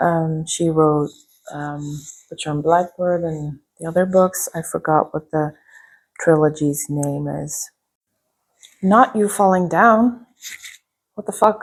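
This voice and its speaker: Speaking at a very slow pace with long, frequent pauses, a woman uses a fairly low pitch with ordinary pitch variation and big swings in loudness. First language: not English. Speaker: booktuber. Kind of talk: casual vlog book review. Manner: casual, filler-heavy with frequent ums.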